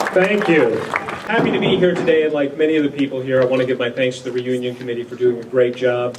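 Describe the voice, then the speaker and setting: Noticeable background noise surrounds a man who talks at a fairly quick clip. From North Dakota, USA. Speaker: comedian, former radio disc jockey, TV writer. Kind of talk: humorous reunion speech.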